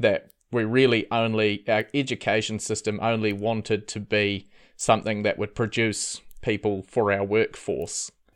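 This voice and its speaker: A man's fairly low voice with a New Zealand accent, at a fairly slow pace, in a very clean recording with a silent background. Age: 30s. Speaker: former cult member. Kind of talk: interview testimony. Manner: hesitant, many fillers.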